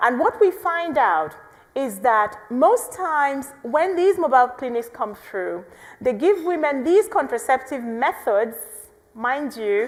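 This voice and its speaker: A woman's high voice, animated and passionate, at a fairly slow pace with very wide pitch swings over noticeable background noise. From Nigeria, southeastern. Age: young. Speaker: pro-life activist and biomedical scientist. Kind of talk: podcast interview. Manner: animated, passionate; halting, with restarts.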